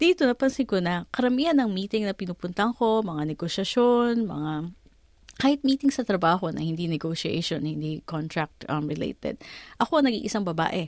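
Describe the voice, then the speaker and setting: Against a quiet background, a woman of medium pitch speaks with very wide pitch swings. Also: fairly quick pace. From Philippines. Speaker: lawyer and career mentor. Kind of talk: interview.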